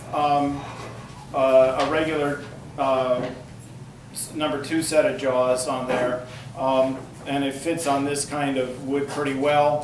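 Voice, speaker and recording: Against noticeable background noise and audible room echo, a man speaks very slowly in a flat monotone, with long, frequent pauses. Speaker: woodturning demonstrator. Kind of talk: demonstration talk. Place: classroom.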